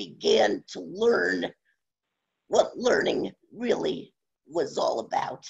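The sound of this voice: The voice comes slowly, raspy and strained, with vocal fry, a husky, rough edge and big pitch swings.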